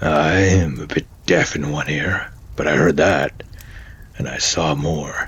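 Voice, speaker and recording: A man uses a put-on character voice that is raspy and very deep, with fairly even intonation. Light background noise can be heard. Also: fairly slow pace. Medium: solo performance. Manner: hesitant, stammering.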